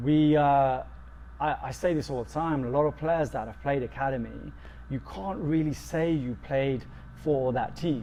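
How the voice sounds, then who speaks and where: In a London accent, a man speaks at a moderate pace. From London, England. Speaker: football coach and sports therapist. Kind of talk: interview. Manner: halting, many fillers.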